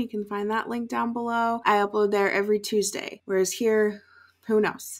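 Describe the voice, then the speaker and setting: A woman speaking at a moderate pace, quiet background. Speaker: reaction channel host. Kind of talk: casual vlog chat. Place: home room. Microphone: webcam.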